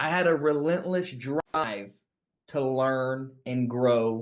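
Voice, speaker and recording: A man with a Southern US accent speaks at a medium pitch in an animated tone, his intonation lively. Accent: Southern US accent, milder than before. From US South. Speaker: sales trainer. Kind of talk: sales training.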